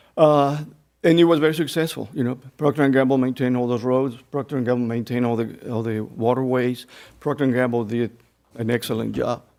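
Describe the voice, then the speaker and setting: A man with a Spanish accent, medium-pitched and very fast. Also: fairly even intonation. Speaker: retired mill electrical planner, public commenter. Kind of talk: public comment at board meeting. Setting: public meeting room. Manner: halting.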